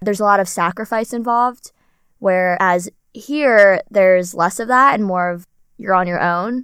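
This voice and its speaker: In a normal speaking voice, a woman talks at a moderate pace, her medium pitch showing ordinary variation. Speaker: podcast host. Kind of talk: casual chat. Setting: studio.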